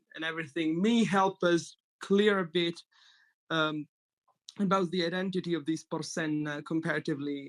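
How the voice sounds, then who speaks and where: A man's high-pitched voice at a moderate pace, with fairly even intonation, long, frequent pauses and a dry, close sound with no echo. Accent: slight Italian. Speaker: mythology enthusiast, panelist. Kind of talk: casual roundtable discussion. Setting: group call.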